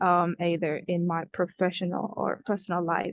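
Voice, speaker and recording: A woman with a non-native accent, fairly low in pitch, at a fairly slow pace. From Kenya (refugee camp). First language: not English. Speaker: student youth advocate. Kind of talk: prepared reflections at online event. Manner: hesitant, many fillers.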